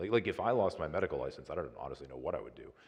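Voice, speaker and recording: This man has an American accent. Vocal fry runs through his speech. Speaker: trauma surgeon. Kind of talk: public talk Q&A. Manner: calm; halting.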